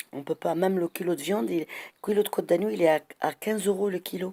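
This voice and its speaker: In a dark, mellow tone, a woman talks at a medium pitch with ordinary pitch variation, the sound dry and close with no echo. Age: 60s. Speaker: citizen vlogger. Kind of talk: monologue complaint. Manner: animated.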